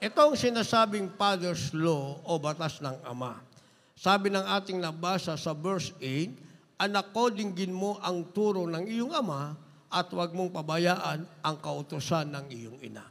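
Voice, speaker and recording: Here a man speaks at a high pitch with lively intonation. His pace is fairly slow. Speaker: preacher. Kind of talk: sermon. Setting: church. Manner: animated, rhythmic pulpit delivery with call-and-response ("Amen", "praise the Lord"); earnest, exhortative, repeatedly addressing the congregation as beloved. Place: church. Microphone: handheld.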